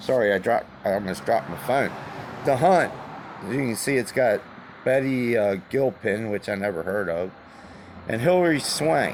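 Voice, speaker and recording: The speech moves at a moderate pace with long, frequent pauses. Noticeable background noise can be heard. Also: man, medium pitch for a man. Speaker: vlogger. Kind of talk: casual chat. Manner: casual, hesitant.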